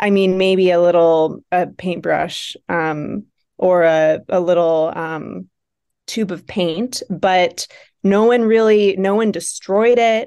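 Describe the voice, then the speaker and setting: At a very slow pace, a woman with a Buffalo accent speaks at medium pitch in a dark, mellow tone with ordinary pitch variation against a quiet background. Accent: Buffalo, Western New York. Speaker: nonprofit founder. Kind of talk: casual interview.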